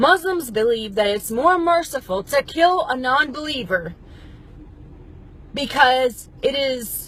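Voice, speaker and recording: Her voice is high and swings very widely in pitch. The woman speaks at a fairly slow pace over noticeable background noise. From Middle East. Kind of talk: opinion monologue to camera.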